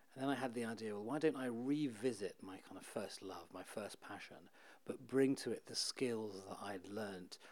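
A man's medium-pitched voice carries ordinary pitch variation at a moderate pace. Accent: British. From UK. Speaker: author and journalist. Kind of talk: interview.

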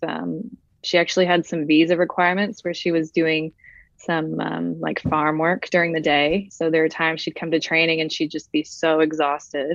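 An American-accented woman talks at a moderate pace and a fairly low pitch. Her intonation is monotone and flat. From Brazil. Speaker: professional footballer. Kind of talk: casual interview.

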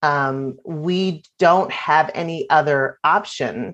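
Against a quiet background, a woman with an American accent speaks with ordinary pitch variation. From Virginia. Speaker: nonprofit founder and author. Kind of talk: interview.

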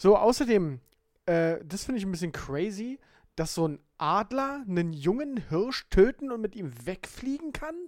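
At a fairly slow pace, a man talks in a high pitch with very wide pitch swings. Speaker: podcast co-host. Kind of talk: casual chat.

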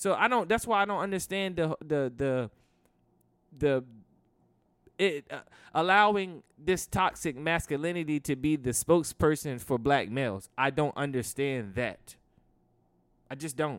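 On a very clean recording with a silent background, a man with a fairly high voice speaks fairly slowly with lively intonation and long, frequent pauses. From Maryland. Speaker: podcast co-host. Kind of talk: casual chat. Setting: recording at a hangout spot.

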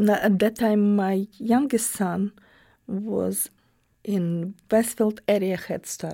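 At a very slow pace, a woman speaks with a dark, mellow tone at medium pitch and fairly even intonation, in a very clean recording with a silent background. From Ukraine. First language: Russian or Ukrainian. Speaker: immigrant cafe owner. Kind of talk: oral history interview. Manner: halting.

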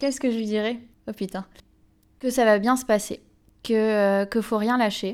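Recorded very cleanly over a silent background, a woman talks at a moderate pace and a fairly high pitch, with fairly even intonation and long, frequent pauses. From Béarn, southwestern France. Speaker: PhD student in developmental psychology. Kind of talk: interview. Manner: hesitant, with fillers and repetitions.

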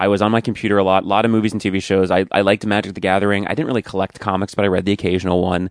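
A man's very fast, monotone speech in an American accent, fairly low in pitch, with flat intonation, a dry, close sound with no echo and a quiet background. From Long Island, New York. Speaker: actor. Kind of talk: casual chat.

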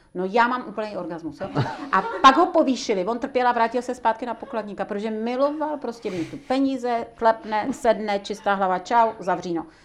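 Over music in the background, a woman talks at a moderate pace with hardly any pauses, her fairly high pitch carrying lively intonation. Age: 60s. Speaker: personal coach and trainer. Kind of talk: interview conversation.

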